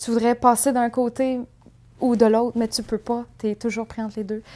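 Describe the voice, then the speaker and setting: Very slow-ish delivery, fairly unhurried, in a dark, mellow tone with flat, monotone intonation. The recording is very clean, with a silent background. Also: woman. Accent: Quebec. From Quebec City, Quebec. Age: 20s. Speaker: documentary interviewee. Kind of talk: interview testimony. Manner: hesitant, many fillers.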